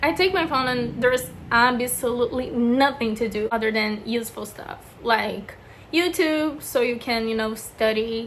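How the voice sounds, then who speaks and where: Heard with audible room echo, a woman with a Brazilian accent talks at a moderate pace in a high pitch with ordinary pitch variation. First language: Portuguese. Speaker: beauty vlogger. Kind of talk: casual chat. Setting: bedroom. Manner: casual, filler-heavy (lots of 'like').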